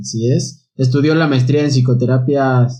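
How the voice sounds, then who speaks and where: A man's medium-pitched voice comes through with a dark, mellow tone and a somewhat breathy quality. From Mexico, Ecatepec. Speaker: podcast co-host. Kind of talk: guest introduction.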